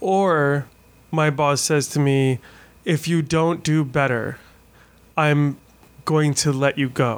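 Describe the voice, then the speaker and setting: A man speaks at a very slow pace with long, frequent pauses. His loudness stays very even. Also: fairly high pitch for a man, fairly even intonation. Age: 40s. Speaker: podcaster, weight loss surgery patient. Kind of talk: casual chat. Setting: hotel room.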